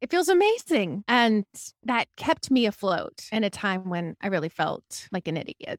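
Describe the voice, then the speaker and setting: At a moderate pace, a woman speaks with a fairly high pitch and very wide pitch swings, her sound dry and close with no echo. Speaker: therapist and private practice coach. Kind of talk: casual chat. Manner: bubbly.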